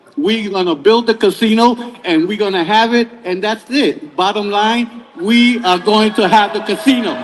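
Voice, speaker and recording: Over noticeable background noise, a man with a New York accent talks at a high pitch with ordinary pitch variation and hardly any pauses. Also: moderate pace. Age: 70s. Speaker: public commenter. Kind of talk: public hearing testimony. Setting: public hearing.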